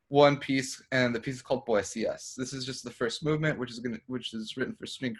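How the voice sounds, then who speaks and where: A man at medium pitch talks at a fairly quick pace with hardly any pauses, somewhat breathy and fairly even in intonation, with big swings in loudness. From Mexican-American. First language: Spanish. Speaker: composer. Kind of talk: casual chat.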